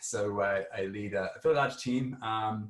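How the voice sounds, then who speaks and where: Somewhat breathy, a man with an Australian accent speaks at a medium pitch. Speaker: tech executive. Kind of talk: panel discussion.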